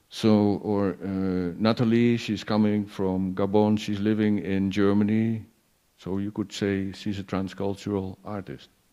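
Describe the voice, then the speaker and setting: A man with a Dutch accent speaks in a dark, mellow tone with monotone, flat intonation. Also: fairly low pitch for a man, fairly slow pace. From Netherlands. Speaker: performance artist and curator. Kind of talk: panel talk. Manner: halting, many repetitions.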